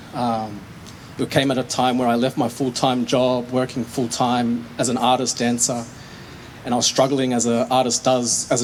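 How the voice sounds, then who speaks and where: A man's medium-pitched voice in an Australian accent, with noticeable background noise. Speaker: poet and dancer. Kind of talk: casual talk to audience; spoken word poetry performance. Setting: stage with audience.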